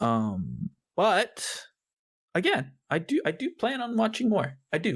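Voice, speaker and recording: This man's pitch swings very widely. Vocal fry runs through his voice. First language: Spanish. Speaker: podcast host. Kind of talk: casual chat. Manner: casual, filler-heavy with repetitions.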